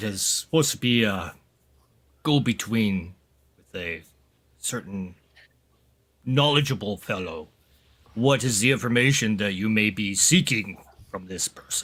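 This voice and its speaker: A man's put-on character voice, lively in intonation, fairly slow with long, frequent pauses, on a very clean recording with a silent background. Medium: actual play.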